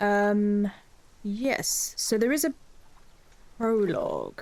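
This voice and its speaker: Long, frequent pauses break up speech in an English accent. Loudness stays very even, and the pitch varies in an ordinary way. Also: woman. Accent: English, drops T's. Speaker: streamer. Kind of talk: casual chat.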